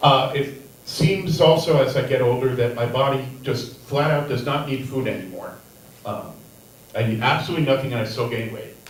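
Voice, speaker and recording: Noticeable background noise and audible room echo surround a man speaking at medium pitch, at a moderate pace, with fairly even intonation. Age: 60s. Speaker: stand-up comedian. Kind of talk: stand-up. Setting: stage with audience. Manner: dry, deadpan.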